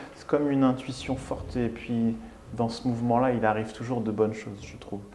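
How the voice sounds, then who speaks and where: A man at a medium pitch and fairly quick pace, with big swings in loudness, audible room echo and noticeable background noise. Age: 40s. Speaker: restaurant owner. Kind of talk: interview. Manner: halting.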